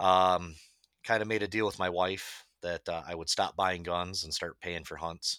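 Very deep, low pitch from a man in a bright, sharp tone, with monotone, flat intonation at a moderate pace on a very clean recording with a silent background. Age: 30s. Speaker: public land turkey hunter. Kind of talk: casual chat.

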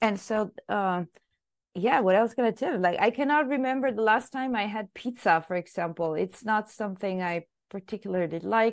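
A woman with an Italian accent talks at a moderate pace in a fairly high pitch, with ordinary pitch variation. The background is quiet. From Italy. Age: 40s. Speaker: scientist. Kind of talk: interview.

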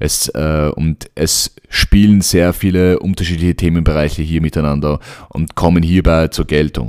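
A man's very deep, low voice at a fairly slow pace, with fairly even intonation. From Vienna, Austria. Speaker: podcast host. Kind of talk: solo podcast monologue. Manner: hesitant, many fillers.

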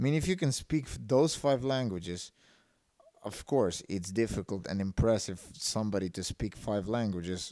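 This man's voice sits fairly low, with a dark, mellow tone. His intonation is lively and his pace moderate. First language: a Slavic language. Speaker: entrepreneurship podcaster. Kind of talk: solo podcast monologue. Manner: halting, many fillers and restarts.

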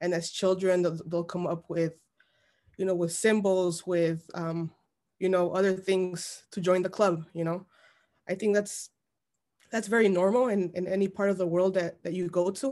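A moderate pace carries fairly even intonation and a dark, mellow tone. Behind it, the background is silent on a very clean recording. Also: woman, medium pitch for a woman. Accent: American. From Chicago, Little Village (Mexican American). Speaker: journalist and editor. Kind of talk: interview.

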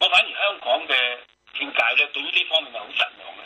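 A man with a Hong Kong accent speaks at a moderate pace. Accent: Hong Kong Cantonese. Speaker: author. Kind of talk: interview. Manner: halting.

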